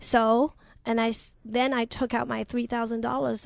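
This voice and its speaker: Here a woman talks with a Chinese accent. The recording is very clean, and the background is silent. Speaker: professional blackjack player. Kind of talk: radio interview. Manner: halting with repetitions.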